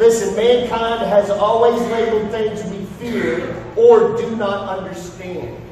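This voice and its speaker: Strong room echo surrounds a man's high voice, with light background noise. He speaks fairly slowly in a monotone, flat intonation. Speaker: pastor. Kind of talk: sermon. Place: stage.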